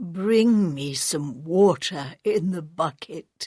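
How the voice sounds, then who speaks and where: Putting on a character voice, a woman speaks at a very slow pace with lively intonation. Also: fairly low pitch for a woman. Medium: read story.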